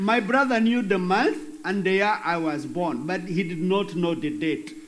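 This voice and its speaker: A man speaks at a moderate pace in a high voice with lively intonation. The recording has audible room echo and noticeable background noise. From Western Uganda. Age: 50s. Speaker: bishop. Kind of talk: interview.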